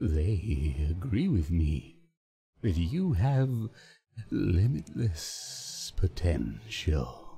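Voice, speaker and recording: This is a put-on character voice from a man, pitched very deep and low. The pace is very slow. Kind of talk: mock-ominous video game impression. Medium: solo performance. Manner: slow, measured, unsettling, oddly phrased pauses; smug, quietly menacing.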